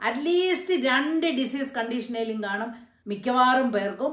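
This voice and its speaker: Audible room echo surrounds a woman as she speaks. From Kerala, India. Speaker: YouTube motivational speaker; motivational speaker. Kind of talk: motivational talk to camera. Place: home room. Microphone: phone near.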